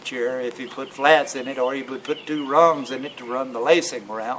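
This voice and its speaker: Noticeable background noise surrounds a man with a Tennessee accent who speaks at a moderate pace and medium pitch with fairly even intonation. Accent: rural Southern US (Tennessee). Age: 60s. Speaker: local elder recalling chairmaking. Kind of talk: oral history interview. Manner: halting, many fillers.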